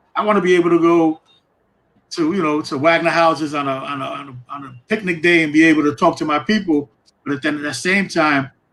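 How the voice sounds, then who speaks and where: Speaking very fast in a New York accent, a man with a fairly high pitch shows ordinary pitch variation and big swings in loudness. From New York, East Harlem. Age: 60s. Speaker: program alumnus speaker. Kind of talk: casual interview. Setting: live-streamed town hall.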